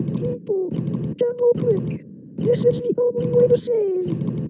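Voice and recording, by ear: A cartoonish character voice, female-sounding, at a fairly slow pace.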